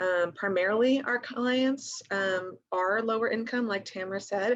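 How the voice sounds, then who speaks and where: Her pitch medium and its variation ordinary, a woman is speaking. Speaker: nonprofit financial counseling program leader. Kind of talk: presentation on a webinar. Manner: fast.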